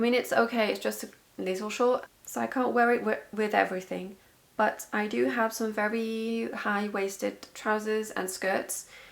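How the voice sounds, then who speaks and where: Through noticeable background noise, a woman with a fairly high pitch talks at a moderate pace. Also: fairly even intonation. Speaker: knitting podcaster. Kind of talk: casual vlog chat.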